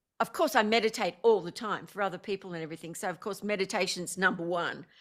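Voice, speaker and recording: A woman's medium-pitched voice at a very fast pace, with ordinary pitch variation, in a very clean recording with a silent background. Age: 60s. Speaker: spiritual teacher and former stage performer. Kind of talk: interview. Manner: animated.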